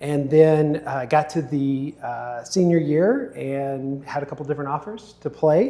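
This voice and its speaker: A man's fairly high, dark, mellow voice with an American accent, ordinary pitch variation, a fairly slow pace and hardly any pauses. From Texas, rural town west of Fort Worth. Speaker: youth baseball coach. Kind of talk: casual podcast interview.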